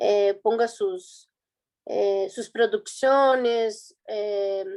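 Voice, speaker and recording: Against a quiet background, a woman with a Brazilian accent speaks at a very slow pace. Her pitch is fairly high, with lively intonation. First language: Portuguese (speaking Spanish). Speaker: student presenter. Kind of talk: conference presentation. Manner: halting, many fillers and restarts.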